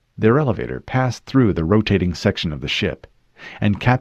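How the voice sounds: Lively intonation colors the natural reading voice heard here.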